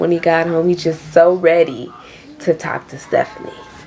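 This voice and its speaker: A woman speaks in an American accent. There is noticeable background noise. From Queens, New York. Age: 20s. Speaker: YouTuber. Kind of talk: casual storytime talk to camera.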